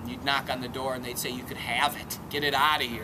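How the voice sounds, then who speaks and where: Background noise can clearly be heard. Over it, a man talks. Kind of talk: casual vlog chat. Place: open country.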